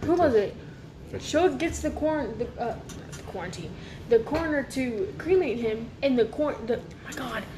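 A high-pitched woman speaks with lively intonation, big swings in loudness, and long, frequent pauses. Audible room echo and noticeable background noise surround her. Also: moderate pace. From Louisiana. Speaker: recurring podcast guest. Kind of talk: casual chat.

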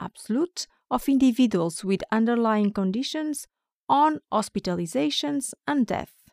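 Lively intonation in a Portuguese accent at a fairly slow pace, with a dry, close sound and no echo. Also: woman, very clean recording, silent background. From Portugal, Porto. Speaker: biostatistician. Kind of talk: interview.

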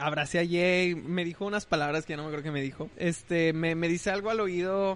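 This man has a high pitch and fairly even intonation, and he speaks at a fairly quick pace. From Monterrey, northern Mexico. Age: 20s. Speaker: musician. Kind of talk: casual interview.

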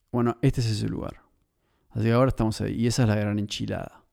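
A man speaks at a medium pitch with a dark, mellow tone and fairly even intonation. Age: 30s. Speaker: podcast host. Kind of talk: solo monologue podcast. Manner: halting, repeats words.

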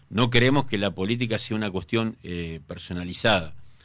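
A man talks at a fairly quick pace in a Rioplatense accent. His pitch is medium, with ordinary variation. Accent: Argentine Spanish (rioplatense). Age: 50s. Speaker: mayoral candidate, politician. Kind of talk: radio interview. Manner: hesitant, frequent filler 'eh' and repetitions.

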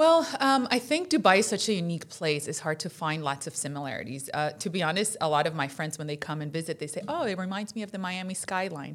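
A woman at a very fast pace, lively intonation and hardly any pauses. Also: fairly low pitch for a woman. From Colombia and Florida, US. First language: Spanish. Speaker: insurance director. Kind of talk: casual interview chat.

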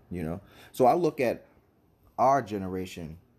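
A man's fairly low-pitched voice, animated in tone, with lively intonation. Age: 30s. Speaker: podcast host. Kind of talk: casual monologue.

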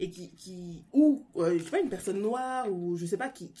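Very slow speech with lively intonation. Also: woman. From France. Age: 20s. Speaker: guest reader. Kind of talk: casual book discussion.

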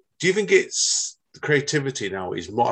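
A man speaks with a Manchester accent. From northern England. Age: 40s. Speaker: podcast host. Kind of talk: casual interview. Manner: animated.

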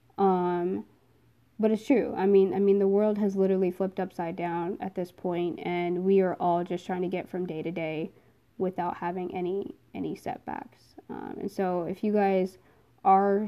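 A woman speaks in an American accent with an ordinary speaking voice and a medium pitch. Her pace is moderate and her intonation fairly even. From New Jersey. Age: 20s. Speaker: podcast host and social worker. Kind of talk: casual monologue. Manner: casual, many filler words.

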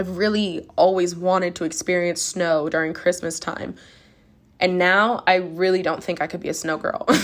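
With an animated tone, a woman talks at a moderate pace and a fairly low pitch on a very clean recording with a silent background. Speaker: podcast host. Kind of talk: casual monologue podcast. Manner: chatty, animated.

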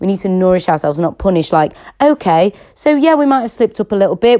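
A woman with a British accent speaks at a very fast pace in a dark, mellow tone, on a very clean recording with a silent background. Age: 20s. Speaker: fitness and nutrition coach podcaster. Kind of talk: personal monologue podcast. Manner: casual, hesitant with many fillers.

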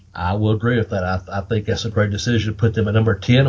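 Very fast, somewhat breathy speech from a man with a Southern Appalachian accent and a fairly low pitch. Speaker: wrestling podcast host. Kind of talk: casual, profane podcast chat. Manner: animated, profane.

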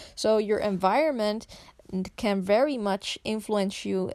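In a very clean recording with a silent background, a woman speaks at a very slow pace with a Dutch accent. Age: 20s. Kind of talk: solo podcast monologue.

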